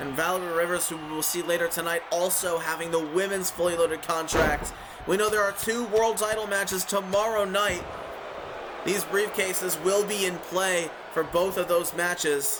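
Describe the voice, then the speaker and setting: The speech moves at a moderate pace with fairly even intonation, over noticeable background noise and audible room echo. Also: man, high pitch for a man. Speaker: wrestling show commentator. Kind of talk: live commentary. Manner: slurring words.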